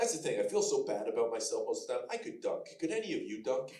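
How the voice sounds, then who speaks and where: A man's voice with audible echo from the room. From Canada, Alberta. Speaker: comedian. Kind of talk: stand-up. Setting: stage with audience.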